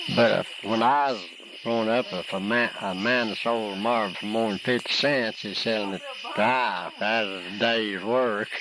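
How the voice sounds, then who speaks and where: The speaker talks in a Tennessee accent at a moderate pace with fairly even intonation. Noticeable background noise runs underneath. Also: man, medium pitch for a man. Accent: Southern American (Tennessee). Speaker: rolley hole marble player. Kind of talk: interview answer.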